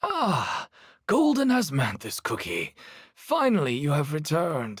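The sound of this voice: A man performs a cartoonish character voice, fairly high in pitch, at a fairly slow pace.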